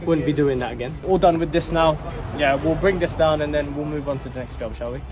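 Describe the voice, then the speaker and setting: Clear music plays in the background while the speaker talks at a fairly quick pace. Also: man. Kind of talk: casual vlog chat. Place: street. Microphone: phone near.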